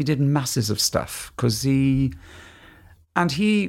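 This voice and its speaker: Recorded very cleanly against a silent background, a man with a Welsh accent speaks at a medium pitch and a moderate pace. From Mid-Wales. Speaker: musical theatre actor and tenor. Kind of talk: casual chat. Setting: at home.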